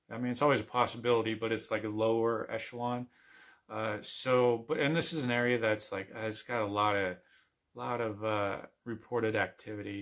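Against a quiet background, a man speaks with monotone, flat intonation. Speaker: outdoor vlogger. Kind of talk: casual vlog chat. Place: home room. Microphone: phone near.

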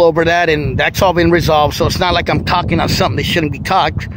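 An American-accented man at a high pitch and very fast pace, dry sound with no echo, noticeable background noise. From East Oakland, California; California. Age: 40s. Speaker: YouTuber. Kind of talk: personal testimony monologue. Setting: outdoors by the waterfront. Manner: casual, street slang. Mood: emotional, earnest, reflective. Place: waterside. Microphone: phone near.

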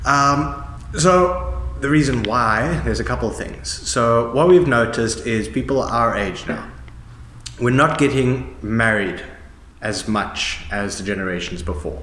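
A man speaks at a fairly slow pace, with audible room echo around him. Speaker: discussion host. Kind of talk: conversational explanation. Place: hall.

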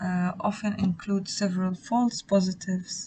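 Somewhat breathy and dark, mellow in tone, this voice keeps its intonation fairly even. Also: woman. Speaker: student tutor. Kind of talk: lecture.

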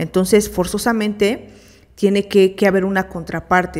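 A woman speaks with a Mexican accent at a moderate pace. The background is quiet. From Mexico. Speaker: therapist and co-host; psychologist radio host. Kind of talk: live radio talk. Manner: halting. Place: studio. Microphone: studio mic.

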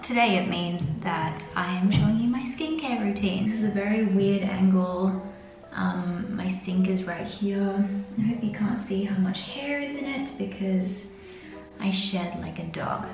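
The speech moves at a fairly slow pace with ordinary pitch variation, with audible room echo and clear music in the background. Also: woman. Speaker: beauty vlogger. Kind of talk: casual vlog chat. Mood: stressed but relaxed, chatty. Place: bathroom. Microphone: camera far.

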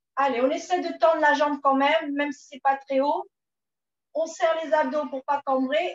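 Audible room echo surrounds a woman speaking at a high pitch and a fairly slow pace. The background is quiet. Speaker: fitness instructor. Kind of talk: exercise class instruction. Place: home room. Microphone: camera far.

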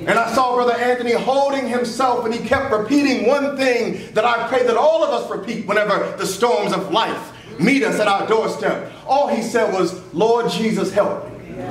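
A man with an American accent speaks at an extremely high pitch for a man, using ordinary pitch variation at a moderate pace with hardly any pauses. Light background noise and audible room echo come through. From US South. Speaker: pastor. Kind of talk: funeral eulogy preached from the pulpit, consoling the grieving family and congregation. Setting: church. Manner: rhythmic preacher's cadence building through repeated phrases toward an uplifting close; earnest and emotionally heavy, yet comforting. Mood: consoling, earnest. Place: church. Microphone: camera far.

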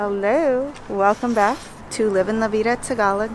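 With light background noise and a dry sound with no echo, a woman speaks at a fairly slow pace and ordinary pitch variation. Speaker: food vlogger. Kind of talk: casual vlog chat. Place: street. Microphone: phone near.

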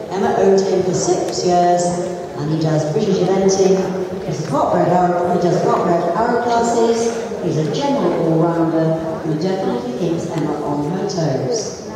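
Speaking at a fairly slow pace, a woman is heard amid noticeable background noise and strong room echo. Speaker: event commentator. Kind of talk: commentary. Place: hall.

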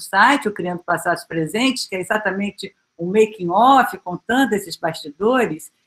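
Lively intonation runs through a woman's speech at a moderate pace. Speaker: history professor. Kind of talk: academic panel talk. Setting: video call. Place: home room. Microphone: webcam.

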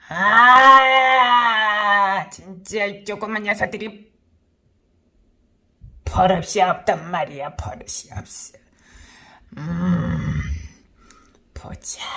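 A put-on character voice, fairly high and raspy, moves at a very slow pace with long, frequent pauses. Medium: role play. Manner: gruff, domineering.

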